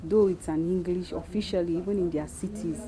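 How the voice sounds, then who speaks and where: With a Nigerian accent, a woman speaks at a fairly low pitch with fairly even intonation. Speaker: missionary. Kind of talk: interview.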